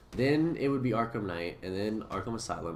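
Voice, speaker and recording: Delivered at a fairly quick pace, the speech shows very wide pitch swings, with audible room echo. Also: man. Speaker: gaming YouTuber. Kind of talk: casual video commentary. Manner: fast; slurred words.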